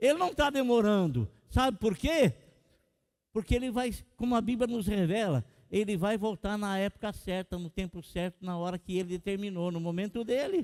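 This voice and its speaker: A man's high-pitched voice at a moderate pace. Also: lively intonation, dry, close sound with no echo. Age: 60s. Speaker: pastor. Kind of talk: sermon.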